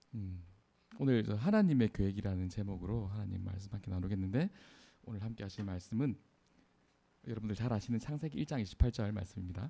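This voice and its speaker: A man with a dark, mellow tone and a fairly low pitch talks at a very fast pace, somewhat breathy, with ordinary pitch variation and long, frequent pauses. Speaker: preacher. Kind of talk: sermon.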